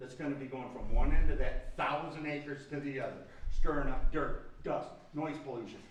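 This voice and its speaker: A man at a fairly quick pace with fairly even intonation, amid audible room echo and noticeable background noise. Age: 60s. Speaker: public commenter at township meeting. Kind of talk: public comment. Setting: township planning commission meeting. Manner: impassioned.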